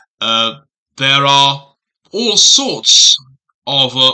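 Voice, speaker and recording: Speaking very slowly with a British accent, a man has a bright, sharp tone. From Britain. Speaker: booktuber. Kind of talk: casual vlog monologue. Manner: hesitant with frequent fillers.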